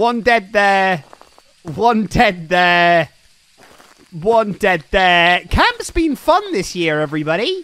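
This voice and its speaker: A high-pitched man speaks very slowly with lively intonation and long, frequent pauses. The sound is dry, with no echo. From Somerset, England; England. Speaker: streamer. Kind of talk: live gaming stream chat. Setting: online voice chat. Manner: animated. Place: home room. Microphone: studio mic.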